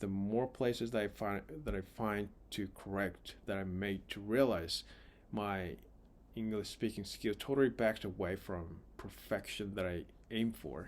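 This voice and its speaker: A man with a non-native accent talks at a moderate pace. His pitch is fairly low, with ordinary pitch variation. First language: not English. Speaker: vlogger practicing English. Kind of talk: casual monologue vlog. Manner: halting, repeating words.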